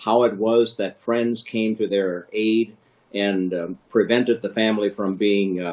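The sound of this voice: At a slow pace, a man speaks fairly low for a man in a slightly mellow tone with ordinary pitch variation.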